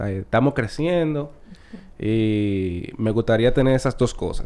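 In a Dominican accent, a man speaks at a fairly slow pace, his dark, mellow tone at a medium pitch with lively intonation. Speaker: comedian. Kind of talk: casual chat.

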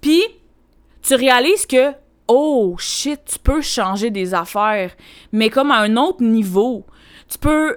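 On a very clean recording with a silent background, a woman with a high pitch and lively intonation speaks at a very slow pace with long, frequent pauses. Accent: Quebec. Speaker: podcast host, personal development coach. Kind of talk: solo podcast monologue. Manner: casual, filler-heavy.

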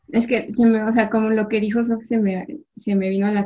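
The voice is somewhat breathy with fairly even intonation. It moves at a fairly quick pace. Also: woman. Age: 20s. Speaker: chemical engineer. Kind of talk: casual chat.

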